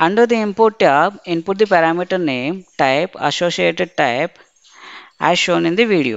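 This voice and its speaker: A plain, everyday voice from a woman, pitched fairly low and moving at a moderate pace. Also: lively intonation. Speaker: SAP software trainer. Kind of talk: tutorial. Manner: formal.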